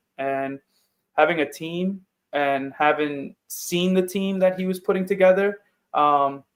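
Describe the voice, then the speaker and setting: On a very clean recording with a silent background, a man with a New York accent speaks loudly at a high pitch with ordinary pitch variation. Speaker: football player. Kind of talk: interview.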